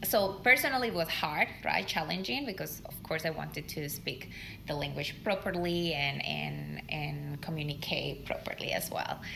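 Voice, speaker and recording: A woman talks at a moderate pace with hardly any pauses. Noticeable background noise and audible room echo are present. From Colombia. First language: Spanish. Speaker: leadership podcast co-host. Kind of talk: podcast conversation.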